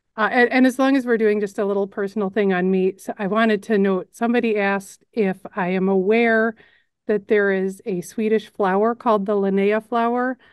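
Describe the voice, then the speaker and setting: The speaker is a woman with an American accent. Her medium-pitched voice keeps fairly even intonation. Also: fairly quick pace. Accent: Chicago accent, some hear Wisconsin. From Chicago suburbs, US Midwest. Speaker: news editor and narrator. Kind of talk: casual Q&A chat.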